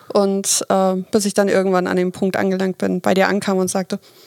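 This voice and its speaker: A woman at a fairly quick pace, in a dry, close sound with no echo. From Hamburg, northern Germany. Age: 30s. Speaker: team leader. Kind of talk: podcast interview.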